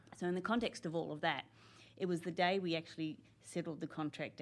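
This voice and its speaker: A woman with an Australian accent talks at a very fast pace. Her very deep, low voice keeps a fairly even intonation. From Australia, Canberra. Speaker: senior public servant. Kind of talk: interview.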